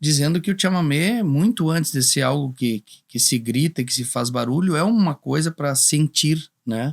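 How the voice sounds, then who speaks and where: Speaking at a moderate pace with hardly any pauses, a man with a fairly high pitch and lively intonation shows big swings in loudness, recorded dry and close with no echo, very clean with a silent background. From Rio Grande do Sul, São Luís Gonzaga. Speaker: singer-songwriter. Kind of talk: podcast interview. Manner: halting, many repetitions.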